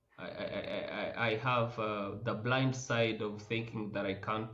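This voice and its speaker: A man talks at a fairly slow pace and a fairly low pitch with fairly even intonation. Audible room echo surrounds his voice. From Rwanda. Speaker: oncologist. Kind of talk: interview. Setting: podcast. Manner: loud.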